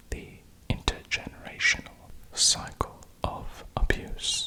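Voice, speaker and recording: A man's whisper at a very slow pace, with noticeable background noise. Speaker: ASMR news host. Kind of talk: ASMR educational narration. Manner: whispered, soft-spoken.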